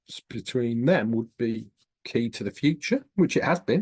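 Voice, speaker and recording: The speech moves at a moderate pace in a Northern English accent. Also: man, dry, close sound with no echo. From northern England, Scottish borders. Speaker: professor. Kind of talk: interview.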